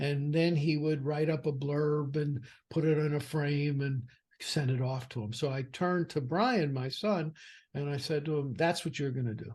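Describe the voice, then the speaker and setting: Moderate-paced speech from a man, fairly high in pitch and somewhat breathy, with fairly even intonation, over a quiet background. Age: 60s. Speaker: financial advisor and firm founder. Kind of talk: podcast interview. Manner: conversational with fillers.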